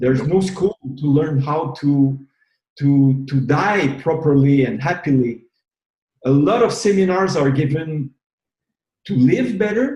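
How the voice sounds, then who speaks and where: A man with a Quebec accent talks at a fairly slow pace with long, frequent pauses. His fairly high voice is somewhat breathy and dark and mellow in tone, with lively intonation. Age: 60s. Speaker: retired massage therapist and movement leader. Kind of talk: interview. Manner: halting, repeats words.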